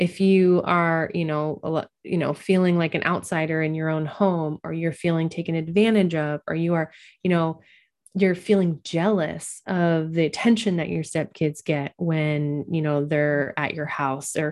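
A woman with a fairly low pitch speaks at a moderate pace. She has ordinary pitch variation and a plain, everyday voice. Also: very clean recording, silent background. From US Pacific Northwest, Oregon. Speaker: podcast host and social worker. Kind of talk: interview.

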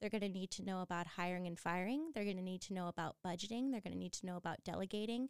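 A woman with a Californian accent at a medium pitch and a very fast pace, in a very clean recording with a silent background. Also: ordinary pitch variation, dry, close sound with no echo. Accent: Californian American. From San Diego, California. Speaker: professor of leadership. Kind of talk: interview. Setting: studio.

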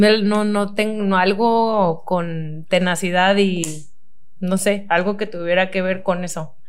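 Words come at a very slow pace in a Mexican accent, with fairly even intonation. There is audible room echo. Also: woman, medium pitch for a woman. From Mexico, Cozumel. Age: 20s. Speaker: nutritionist and athlete. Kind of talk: casual interview chat.

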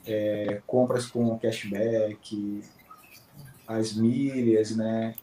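Noticeable noise runs in the background. The speaker is a man. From Manaus, Amazonas, Brazil. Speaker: finance worker, student of a miles course. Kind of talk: interview.

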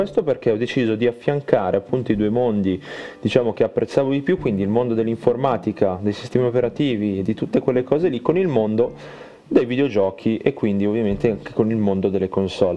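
Noticeable background noise sits behind a man of medium pitch who talks very fast with ordinary pitch variation. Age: 20s. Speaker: podcaster and logistics technician. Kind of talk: solo casual monologue.

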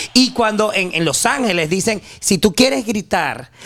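An animated tone and lively intonation with a Venezuelan accent. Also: man. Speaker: journalist and human rights activist. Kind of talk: casual chat.

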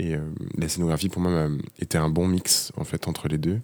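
A soft-spoken man talks in a very deep, low pitch with a calm tone, monotone, flat intonation and a moderate pace. The recording is very clean, with a silent background. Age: 30s. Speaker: architect. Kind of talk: casual interview. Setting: office workshop.

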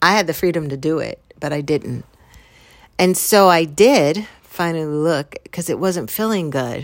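A woman's calm, fairly low-pitched voice with ordinary pitch variation, in a very clean recording with a silent background. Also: moderate pace. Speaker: podcast host and author. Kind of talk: reflective motivational monologue.

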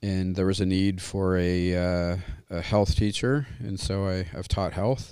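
A man with a very deep, low pitch talks at a fairly slow pace with fairly even intonation. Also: very clean recording, silent background. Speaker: psychology teacher. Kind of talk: panel discussion.

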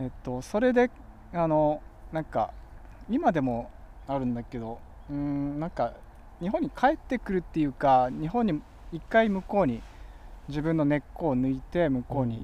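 A dark, mellow tone with lively intonation comes across between long, frequent pauses. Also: man, fairly high pitch for a man, moderate pace. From Tokyo, Musashino area. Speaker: author and cycling policy advocate. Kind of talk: casual interview chat. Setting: outdoors by a riverbank.

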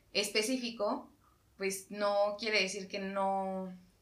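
In a room with audible echo, a woman talks at a medium pitch. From Mexico. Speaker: podcast co-host. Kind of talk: casual chat.

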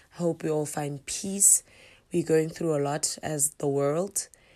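A woman's very deep, low voice with a dark, mellow tone at a fairly slow pace, on a very clean recording with a silent background. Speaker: podcast host, traditional healer. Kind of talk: casual monologue.

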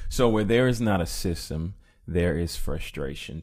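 A man with a dark, mellow tone speaks at a moderate pace, his pitch varying in an ordinary way. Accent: Southern US. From US South, Mississippi. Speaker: entrepreneur and musician. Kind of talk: casual interview.

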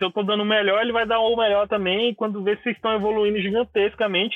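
A man talks in a high pitch. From Brasília, Brazil. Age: 20s. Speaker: graffiti artist. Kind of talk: casual interview.

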